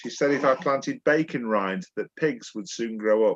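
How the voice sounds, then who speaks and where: In a Yorkshire accent, a man speaks at a moderate pace with lively intonation over a quiet background. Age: 60s. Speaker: poet. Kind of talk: casual chat; poetry reading.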